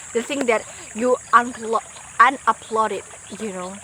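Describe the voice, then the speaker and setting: With a non-native accent and fairly high pitch, a woman speaks with ordinary pitch variation over noticeable background noise. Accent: non-native English speaker. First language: not English. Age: 20s. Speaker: vlogger. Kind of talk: casual vlog monologue. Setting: outdoors by a forest river. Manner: halting, self-correcting.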